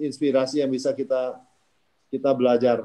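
At a moderate pace, a man speaks in a dark, mellow tone against a quiet background. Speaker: company founder; webinar host or moderator. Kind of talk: discussion moderation. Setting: video call. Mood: friendly, upbeat. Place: home room. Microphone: phone instead of laptop; video call.

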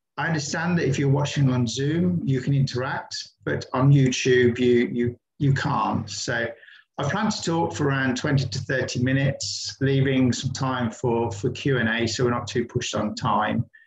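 Ordinary pitch variation in a man's speech at a moderate pace. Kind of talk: online presentation talk. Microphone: video call.

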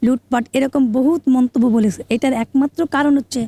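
A woman with a high pitch and a dark, mellow tone keeps a fairly even intonation, recorded with a dry, close sound and no echo. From Bangladesh, Khulna. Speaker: lawyer. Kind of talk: political interview comment.

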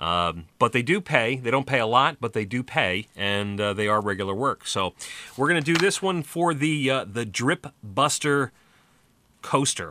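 A man talks with a bright, sharp tone and lively intonation. The sound is dry with no echo, over light background noise. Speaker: voice actor. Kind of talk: casual talk to camera. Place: studio. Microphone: studio mic.

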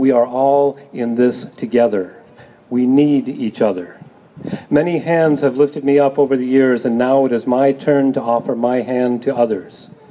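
This man talks at a moderate pace with fairly even intonation. Light background noise can be heard. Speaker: speaker. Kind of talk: public reading at rally. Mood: solemn, earnest. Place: street. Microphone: camera far.

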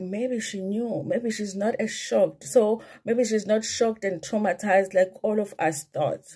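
A woman speaks at a fairly slow pace in a fairly high pitch, her tone animated and somewhat breathy. The background is quiet. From South Africa. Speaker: YouTuber, commentary channel host. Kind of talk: casual vlog commentary. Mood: gossipy, animated. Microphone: phone near.

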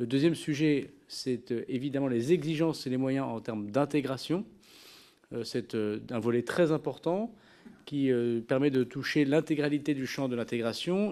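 A man speaks at a fairly slow pace in a dark, mellow tone, with ordinary pitch variation over a quiet background. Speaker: government minister at a hearing. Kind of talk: formal hearing statement. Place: hall. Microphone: podium.

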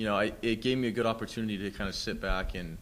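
A man's voice over light background noise. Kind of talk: interview answer. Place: meeting room. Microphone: podium.

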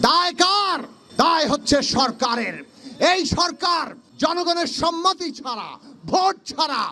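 Noticeable background noise sits behind a raised, projected voice. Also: man, extremely high pitch for a man, ordinary pitch variation. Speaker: opposition politician. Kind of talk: political speech.

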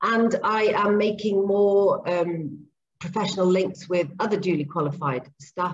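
The voice is somewhat breathy, with ordinary pitch variation and very even loudness at a fairly slow pace. Light background noise sits behind it. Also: woman. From Zambia and Papua New Guinea. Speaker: speech and language therapist and behaviour analyst. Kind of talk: interview. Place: home room. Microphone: video call.

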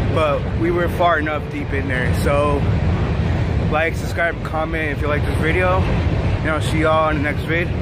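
Loud background noise surrounds a man whose sound is dry, with no echo. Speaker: vlogger. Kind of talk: casual vlog chat. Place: street. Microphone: phone near.

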